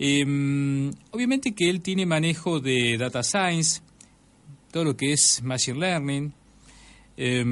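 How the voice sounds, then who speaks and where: A man with an Argentine accent speaks at a fairly high pitch. His intonation is lively, and the background is quiet. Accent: Rioplatense Argentine Spanish. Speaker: podcast host. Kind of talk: show intro and outro.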